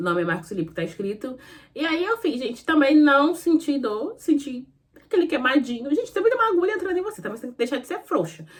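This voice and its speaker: A woman speaks at a very fast pace in an animated tone with a high pitch. Her pitch swings very widely and her loudness swings a lot. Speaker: lifestyle vlogger. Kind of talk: casual chat.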